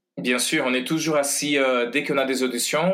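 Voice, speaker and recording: A man at medium pitch with a Portuguese accent. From Brazil. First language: Portuguese (speaking French). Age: 40s. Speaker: ballet master, former dancer. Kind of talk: interview. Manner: halting, many hesitations.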